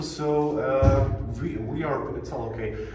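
A man speaks with music in the background. Audible room echo surrounds his voice. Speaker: bunker tour guide. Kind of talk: guided tour explanation. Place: tunnel cave. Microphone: phone near.

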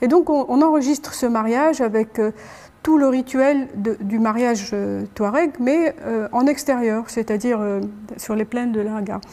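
At a fairly slow pace, a woman speaks with a high pitch and ordinary pitch variation. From Algeria. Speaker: ethnomusicologist; guest. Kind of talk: panel discussion. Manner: halting. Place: hall. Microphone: lapel.

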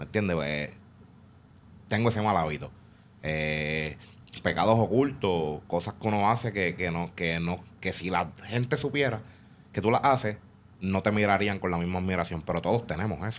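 Light background noise sits behind a man with a very deep, low pitch. His intonation is lively, with long, frequent pauses. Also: moderate pace. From Puerto Rico. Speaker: podcast guest. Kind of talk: casual interview. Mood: reflective, candid. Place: studio. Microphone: studio mic.

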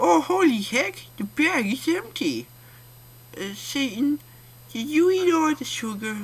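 A man uses a put-on character voice at an extremely high pitch. He goes at a fairly slow pace with long, frequent pauses over light background noise. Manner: cheerful, naive.

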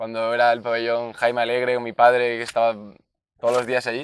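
At a fairly quick pace, a man speaks in a medium pitch, with a dry sound and no echo. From Spain, Valencia region (Enguera); Valencia region, Spain. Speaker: basketball player and youth coach; interviewee. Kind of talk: interview. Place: open country. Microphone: lapel.

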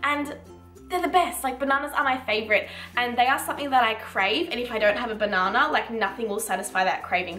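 Faint music plays in the background as a woman speaks at a very fast pace with a high pitch. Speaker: lifestyle vlogger. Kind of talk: casual vlog chat. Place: kitchen. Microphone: camera far.

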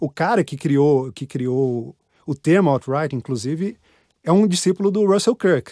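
A man's voice, dark and mellow in tone, is heard on a very clean recording with a silent background and a dry, close sound with no echo. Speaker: political columnist. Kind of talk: interview.

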